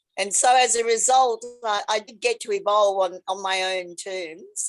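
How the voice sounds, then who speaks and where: With an Australian accent, a woman speaks at a medium pitch and ordinary pitch variation. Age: 70s. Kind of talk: interview storytelling.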